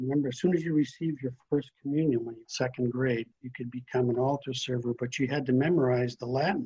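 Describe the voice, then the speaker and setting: This is a man with an American accent. His voice is somewhat breathy. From US Midwest, northern Wisconsin. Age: 80s+. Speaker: priest. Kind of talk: interview.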